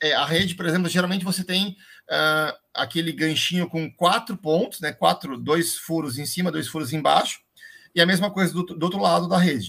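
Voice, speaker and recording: A man's high, bright and sharp voice with ordinary pitch variation, in a very clean recording with a silent background. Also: moderate pace. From Londrina, northern Paraná, Brazil. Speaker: construction company owner. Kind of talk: live stream interview.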